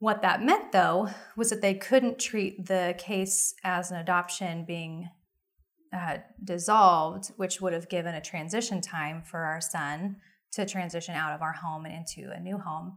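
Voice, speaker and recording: A woman with an ordinary speaking voice and an American accent, fairly low in pitch, fairly even in intonation, with big swings in loudness and a fairly slow pace, on a very clean recording with a silent background. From Oklahoma. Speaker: pro-life ministry leader and adoptive mother. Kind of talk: interview.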